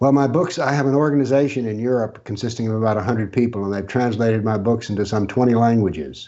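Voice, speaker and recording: Here a man talks at a very fast pace. His pitch is medium. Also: ordinary pitch variation. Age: 70s. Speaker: author and former professor on political Islam. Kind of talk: interview.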